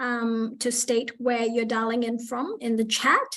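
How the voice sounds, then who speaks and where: A woman's high-pitched voice at a very slow pace. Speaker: community workshop facilitator. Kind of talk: online workshop presentation. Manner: hesitant, many fillers.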